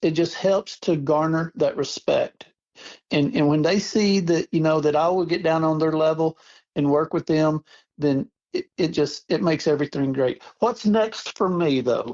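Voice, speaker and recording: This man's voice sits fairly high in pitch, with very even loudness. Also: ordinary pitch variation, moderate pace. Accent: Texan. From Texas. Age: 60s. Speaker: rent-to-own store owner. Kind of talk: interview.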